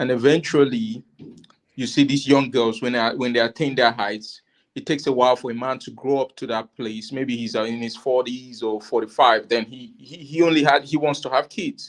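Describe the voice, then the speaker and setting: With an African accent, a man speaks at medium pitch and a moderate pace. His intonation is fairly even, and the background is quiet. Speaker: panel guest. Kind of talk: casual discussion. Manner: halting.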